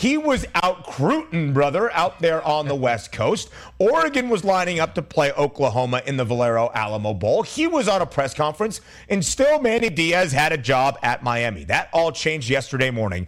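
A man with a fairly high voice speaks in an upbeat, energetic tone, his pitch swinging very widely while his loudness stays very even. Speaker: sports betting radio host. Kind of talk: radio dj patter: brisk, polished sports-betting show opener and segment teases with hype. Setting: radio studio, live with co-host. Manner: fast, upbeat, energetic broadcaster delivery.

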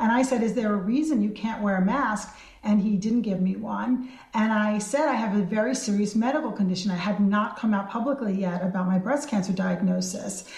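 This is an ordinary speaking voice at a fairly quick pace. Loudness is very even, and pitch variation is ordinary. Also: woman, fairly high pitch for a woman. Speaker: state senator. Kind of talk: radio interview recounting an event.

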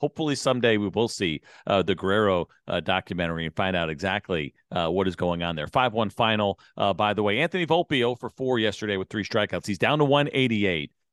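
A man talks at a very fast pace with an American accent. His fairly low voice has lively intonation. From Suffern, New York. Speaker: baseball radio host. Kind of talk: casual chat.

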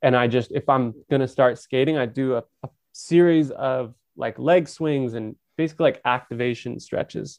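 An ordinary speaking voice with an American accent moves at a moderate pace with fairly even intonation, recorded dry and close with no echo. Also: man, medium pitch for a man. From Northern California. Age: 30s. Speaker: professional skateboarder and author. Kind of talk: casual chat.

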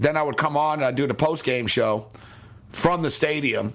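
At a moderate pace, a man speaks in a plain, everyday voice with a fairly high pitch. His pitch variation is ordinary. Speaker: sports betting radio host. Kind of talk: casual sports betting talk show.

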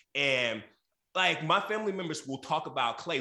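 Raising and projecting his voice, a man speaks with a bright, sharp tone. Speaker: crisis manager and political commentator. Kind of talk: casual talk show panel chat.

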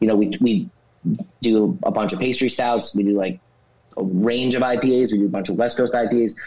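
With a New Jersey accent, a man speaks at a medium pitch and moderate pace, his dark, mellow tone carrying ordinary pitch variation. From northern New Jersey. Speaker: brewery founder. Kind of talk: interview. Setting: studio.

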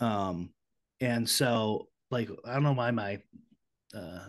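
Against a quiet background, a man with an American accent speaks at a medium pitch with ordinary pitch variation in an ordinary speaking voice. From Chicago, US Midwest. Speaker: podcast guest. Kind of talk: casual chat.

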